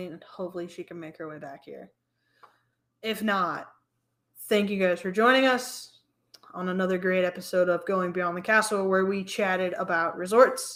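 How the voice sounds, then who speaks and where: A woman's raspy, put-on character voice at medium pitch, moderate in pace, with long, frequent pauses and big swings in loudness. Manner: very slow.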